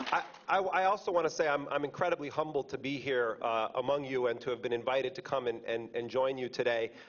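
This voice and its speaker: A man with an American accent talks at a very fast pace, his medium pitch moving with ordinary variation. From United States. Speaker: investigative journalist. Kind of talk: speech to an audience. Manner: loud; repetitive false starts.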